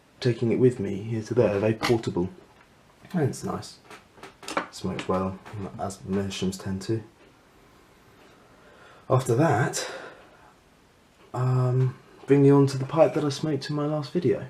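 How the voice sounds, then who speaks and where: Over noticeable background noise, a man of medium pitch speaks with lively intonation and long, frequent pauses. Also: moderate pace. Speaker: pipe smoker. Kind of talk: casual talk to camera. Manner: mumbling, hesitant.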